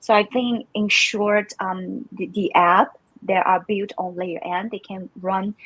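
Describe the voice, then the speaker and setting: A woman speaks with a Chinese accent at a medium pitch. Her voice is somewhat breathy and her pace fairly slow. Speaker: crypto community manager. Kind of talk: live stream interview. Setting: live stream. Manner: halting, many fillers.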